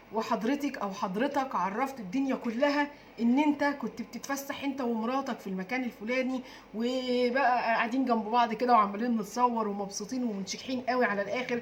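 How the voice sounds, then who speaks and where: A woman speaks at a moderate pace in a high voice with an Egyptian accent, with noticeable background noise behind her. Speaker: diet and weight-loss YouTuber. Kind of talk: casual vlog talk. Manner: halting, many fillers; trying to speak louder.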